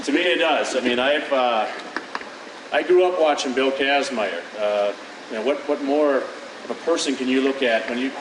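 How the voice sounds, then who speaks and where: A man talks at a moderate pace with ordinary pitch variation. Room echo is audible, and background noise is noticeable. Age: 30s. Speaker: powerlifter. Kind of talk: conference presentation. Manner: halting.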